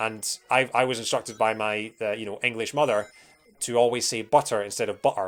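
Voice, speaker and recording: Here a man speaks in a Scottish accent. His pace is fairly quick. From Scotland. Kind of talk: explanatory, conversational.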